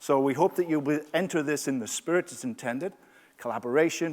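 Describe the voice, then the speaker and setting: A man speaks with a Yorkshire accent and lively intonation. His pace is fairly quick. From northern England, Yorkshire. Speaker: leadership coach, conference speaker. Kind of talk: conference workshop talk. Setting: stage with audience.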